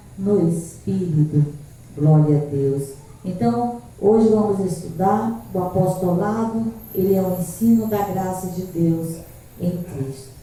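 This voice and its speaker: Soft-spoken, a woman talks at a very slow pace with lively intonation. Noticeable background noise and audible room echo fill the recording. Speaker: pastor and evangelist. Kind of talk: sermon. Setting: church service streamed live.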